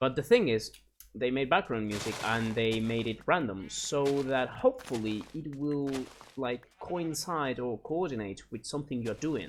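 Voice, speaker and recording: With a Spanish accent, a man speaks at a moderate pace in a medium pitch, using ordinary pitch variation. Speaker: gaming YouTuber. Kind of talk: casual gameplay commentary. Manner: halting, searching for words.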